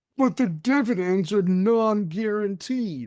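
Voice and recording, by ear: In a put-on character voice, the speaker talks at a fairly slow pace with a fairly high pitch.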